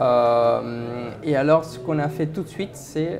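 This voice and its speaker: Noticeable background noise sits behind this man's speech. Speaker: company founder and CEO. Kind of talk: interview answer.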